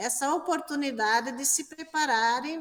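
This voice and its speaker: Through noticeable background noise, a woman talks fairly slowly. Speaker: religious sister, interviewer. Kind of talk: interview. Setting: exhibition room.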